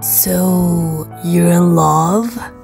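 Over faint music, a woman uses a put-on character voice with a fairly low pitch, vocal fry, a slightly mellow tone and ordinary pitch variation, speaking at a very slow pace.

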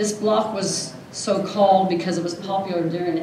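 A woman's slightly mellow voice with ordinary pitch variation and audible room echo

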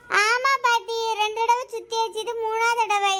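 A woman's cartoonish character voice, extremely high in pitch, monotone and flat, at a fairly slow pace.

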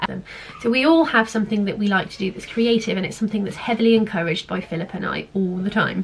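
A woman's medium-pitched voice with an English accent, big swings in loudness and noticeable background noise. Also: ordinary pitch variation. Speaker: home education vlogger. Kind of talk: casual talk to camera. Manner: hesitant with fillers.

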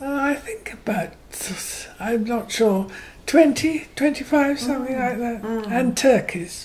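With a Herefordshire accent, a woman speaks at a high pitch and a fairly slow pace. Background noise is noticeable. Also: ordinary pitch variation. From Herefordshire, England. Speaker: retired farmer's daughter and horse rider. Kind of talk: oral history interview answer.

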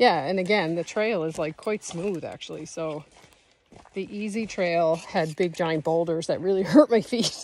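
In an ordinary speaking voice, a woman talks at a moderate pace with a fairly low pitch and ordinary pitch variation, the sound dry with no echo. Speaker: solo travel vlogger. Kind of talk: casual vlog chat. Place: forest. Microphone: phone near.

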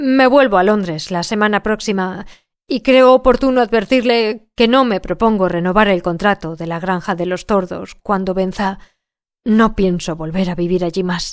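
This is a normal speaking voice with ordinary pitch variation, moving at a fairly slow pace in a very clean recording with a silent background. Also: woman. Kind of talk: literary audiobook narration. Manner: measured, even-paced storyteller delivery; shifts tone to voice each character's dialogue.

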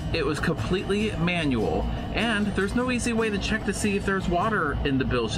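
Fairly quick speech from a man, music clearly audible behind him. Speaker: boat owner vlogger. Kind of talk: casual vlog chat. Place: boat. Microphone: phone near.

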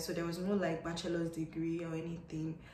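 Her voice is fairly low-pitched for a woman. Light background noise and audible room echo come through. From Nigeria. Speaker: English teacher and vlogger; English teacher, vlogger. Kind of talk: casual advice vlog. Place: home room. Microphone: phone near.

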